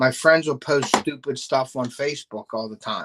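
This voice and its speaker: A man speaks with a Pittsburgh accent. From Pittsburgh, western Pennsylvania. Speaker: fishing YouTuber and bait maker. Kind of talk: casual live stream chat. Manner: casual, filler-heavy.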